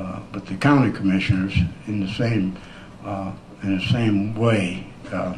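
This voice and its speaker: There is audible room echo and noticeable background noise as a man talks. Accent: American. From Michigan, US Midwest. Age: old. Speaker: resident speaking at town meeting. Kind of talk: public comment at town meeting. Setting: town council meeting. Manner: fast; halting, many fillers.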